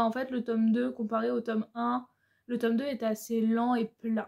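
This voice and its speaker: A woman speaks in a high pitch at a fairly slow pace. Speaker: booktuber. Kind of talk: casual book review vlog. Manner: hesitant, many filler sounds.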